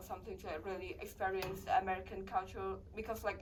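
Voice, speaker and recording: Her words come out very fast. The room echoes audibly, and there's noticeable noise in the background. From Vietnam. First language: Vietnamese. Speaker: international college student. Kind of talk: interview. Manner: halting.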